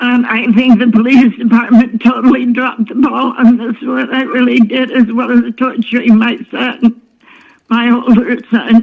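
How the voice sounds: A woman's fairly high voice with vocal fry, little pitch movement and a fairly slow pace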